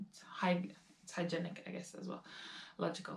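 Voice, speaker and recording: Somewhat breathy delivery in a Latvian accent. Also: woman. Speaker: lifestyle vlogger. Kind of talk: casual talk to camera.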